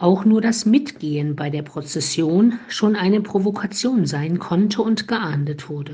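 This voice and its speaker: A woman speaks at a medium pitch with lively intonation. Her tone is calm, dark and mellow, and somewhat breathy. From Thuringia, Eichsfeld region (eastern Germany). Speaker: Franciscan nun giving a morning devotion. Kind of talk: scripted spiritual reflection. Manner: calm, measured.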